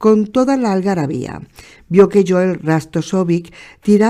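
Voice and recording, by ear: Pitch variation is ordinary. The voice is reading aloud in a natural voice.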